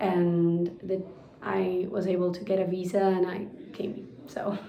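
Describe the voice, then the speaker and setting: Amid noticeable background noise and audible room echo, a woman with a Spanish accent and a medium-pitched voice speaks fairly slowly in a flat monotone. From Argentina, Buenos Aires. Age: 20s. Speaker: pastry chef. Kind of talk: interview.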